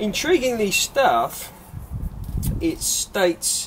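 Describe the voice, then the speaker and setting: This is a man speaking with an English accent. Light background noise can be heard. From England. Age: 30s. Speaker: allotment gardener and video maker. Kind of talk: gardening tutorial. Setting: polytunnel on allotment, filmed on camera. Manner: casual, with fillers and repetitions. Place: garden.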